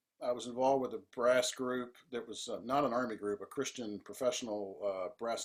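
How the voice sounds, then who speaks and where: An ordinary speaking voice comes with an American accent. The pace is fairly quick. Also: man. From US South. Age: 60s. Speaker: composer and band leader. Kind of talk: interview.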